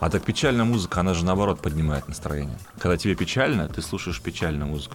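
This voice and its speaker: Over music in the background, a man with a very deep, low voice speaks at a very fast pace with lively intonation. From Perm region / Bashkortostan, Russia. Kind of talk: casual chat.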